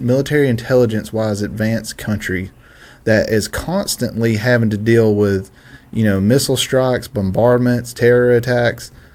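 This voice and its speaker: The speaker has a Southern US accent, a moderate pace and fairly even intonation. The recording is very clean with a silent background. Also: man, medium pitch for a man. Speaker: political commentator. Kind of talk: casual political discussion. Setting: studio.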